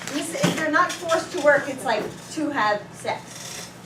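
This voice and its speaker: Noticeable background noise and audible room echo surround a woman who speaks at a high pitch with ordinary pitch variation. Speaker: teacher. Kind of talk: classroom lesson. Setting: classroom. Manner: fast.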